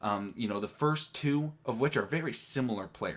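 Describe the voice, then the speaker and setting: The voice is quiet. Its pitch varies in an ordinary way. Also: man. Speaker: sports YouTuber. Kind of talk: casual vlog commentary.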